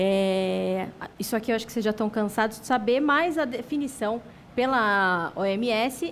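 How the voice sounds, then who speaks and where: At a moderate pace, an ordinary speaking voice moves with lively intonation. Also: woman. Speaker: psychiatrist and lecturer. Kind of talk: lecture.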